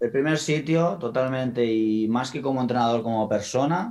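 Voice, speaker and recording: A man with an ordinary speaking voice talks at a moderate pace, with a medium pitch and ordinary pitch variation. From Spain, Valencian coast (Gandía). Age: 30s. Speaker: football coach. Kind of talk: interview conversation.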